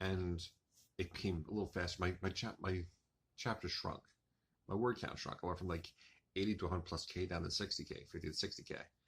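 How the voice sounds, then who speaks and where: Very deep and somewhat breathy, a man talks at a fairly quick pace in a monotone, flat delivery with long, frequent pauses. The recording is very clean, with a silent background. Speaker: author and writing vlogger. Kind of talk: casual monologue vlog. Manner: fast.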